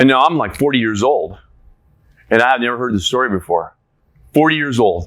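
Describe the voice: A man at medium pitch, with lively intonation and a fairly quick pace. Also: fairly bright tone.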